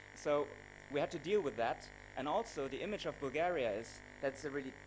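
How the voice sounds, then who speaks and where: This man has a German accent. He talks at a moderate pace. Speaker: travel blogger and videographer. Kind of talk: conference presentation. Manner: hesitant, many fillers.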